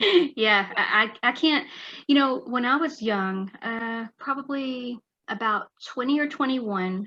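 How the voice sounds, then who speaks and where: In a Texan accent, a woman speaks at a fairly slow pace with a bright, sharp tone and ordinary pitch variation. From West Texas. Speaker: author. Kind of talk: interview.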